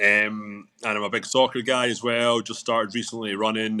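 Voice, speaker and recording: In a very clean recording with a silent background, a man with a Scottish accent speaks at a medium pitch in a bright, sharp tone. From Scotland, Glasgow. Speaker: business owner. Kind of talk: interview. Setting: live stream. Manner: repeats words, halting.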